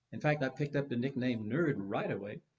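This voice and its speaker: Very wide pitch swings from a somewhat breathy man with an American accent, at a fairly quick pace. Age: 80s+. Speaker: psychologist. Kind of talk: panel conversation.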